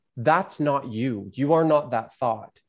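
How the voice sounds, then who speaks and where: On a very clean recording with a silent background, a man with an unremarkable speaking voice talks at a fairly slow pace, with fairly high pitch and lively intonation. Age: 30s. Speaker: artist and entertainer. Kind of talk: casual chat.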